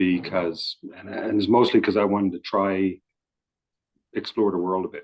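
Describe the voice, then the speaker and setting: A man with a Newfoundland accent, fairly low in pitch, at a moderate pace with long, frequent pauses, monotone, flat intonation and big swings in loudness, in a dry, close sound with no echo. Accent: Newfoundland, sounds almost Irish. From Newfoundland, Canada. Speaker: interviewee. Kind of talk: casual chat. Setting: video call. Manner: halting.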